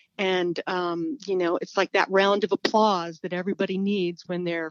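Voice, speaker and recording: Monotone, flat intonation in an American accent at a moderate pace. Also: woman. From California. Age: 60s. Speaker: small business owner and author. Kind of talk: interview.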